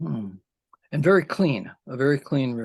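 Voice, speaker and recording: Vocal fry and lively intonation at a fairly slow pace. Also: man. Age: 70s. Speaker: poet. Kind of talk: interview conversation. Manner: halting, many fillers.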